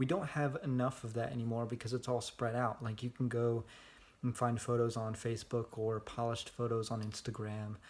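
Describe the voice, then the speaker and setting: This man talks at a fairly quick pace in a medium pitch, his intonation flat and monotone. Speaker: vlogger. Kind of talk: casual vlog monologue.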